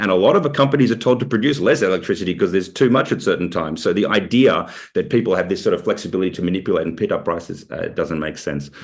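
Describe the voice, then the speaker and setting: A man with an Australian accent talks at a very fast pace. He hardly pauses at all. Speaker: researcher presenting report. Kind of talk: webinar Q&A. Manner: halting, many fillers.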